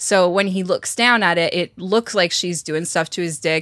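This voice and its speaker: At a moderate pace, a woman with a fairly low pitch uses an ordinary speaking voice, recorded with a dry, close sound with no echo. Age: 30s. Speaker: sex journalist and podcast cohost. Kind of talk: casual chat.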